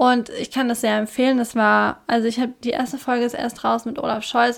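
At a fairly quick pace, a woman talks in a high voice with fairly even intonation. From Germany, non-standard dialect region. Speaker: podcast co-host. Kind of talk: casual chat.

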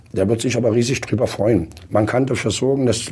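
The intonation is fairly even. The voice sounds somewhat breathy. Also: man. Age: 60s. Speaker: school principal and former state education minister. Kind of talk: panel discussion.

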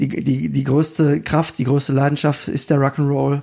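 His medium-pitched voice has a slightly mellow tone and some vocal fry. The man speaks at a fairly slow pace with little pitch movement.

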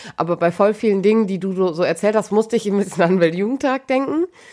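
At a very fast pace, a woman speaks with a medium pitch and lively intonation. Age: 30s. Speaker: podcast co-host. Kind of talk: casual chat.

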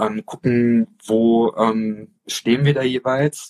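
The man's medium-pitched voice stays flat and monotone, with a dry, close sound and no echo. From Offenbach, Hesse, Germany. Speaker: podcast host, teacher. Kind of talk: casual chat. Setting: Instagram live video call. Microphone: poor livestream audio.

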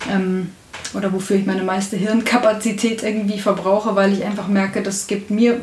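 Over noticeable background noise and audible room echo, a woman speaks at a moderate pace in a medium pitch with monotone, flat intonation. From Bavaria, Upper Bavaria (Traunstein district). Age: 20s. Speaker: audio description writer and musician. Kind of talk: casual interview.

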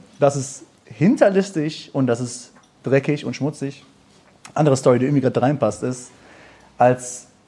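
Over noticeable background noise, a man with a fairly high voice speaks at a fairly quick pace. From Germany. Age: 20s. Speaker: musician and videographer. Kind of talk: live panel discussion. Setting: stage with audience.

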